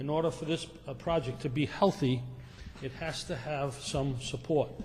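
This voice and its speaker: A man's fairly high-pitched voice at a fairly slow pace, with audible room echo. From Rhode Island, North Providence. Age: 60s. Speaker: property developer. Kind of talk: public meeting presentation. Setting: town council meeting. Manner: halting.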